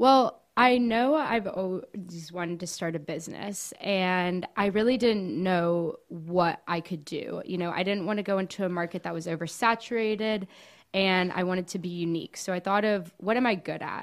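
A plain, everyday voice from a woman with an American accent, at medium pitch with ordinary pitch variation and hardly any pauses, on a very clean recording with a silent background. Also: moderate pace. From Miami, Florida (Cuban family). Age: 20s. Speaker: small business owner, baker and college student. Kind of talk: casual interview chat.

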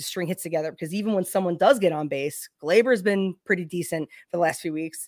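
A woman with an ordinary speaking voice, fairly low in pitch, talks at a fairly quick pace with ordinary pitch variation in a dry, close, echo-free and very clean recording with a silent background. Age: 30s. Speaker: baseball podcaster. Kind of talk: casual chat.

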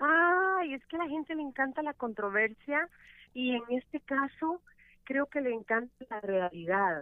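A woman's high voice swings very widely in pitch as she talks at a fairly slow pace. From El Salvador. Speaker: radio host. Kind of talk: casual chat.

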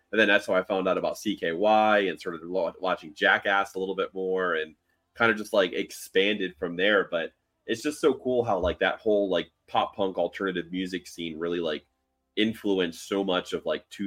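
With music playing behind him, a man in an American accent talks at a moderate speed. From Miami, Florida. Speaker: podcast co-host. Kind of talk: casual chat.

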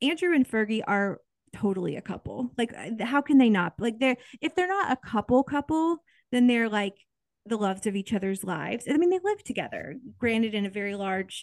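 A woman with an American accent and an unremarkable speaking voice, fairly high-pitched, fairly quick, with lively intonation, a dry, close sound with no echo and a quiet background. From Kansas, US Midwest. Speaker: podcast co-host. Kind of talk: casual chat.

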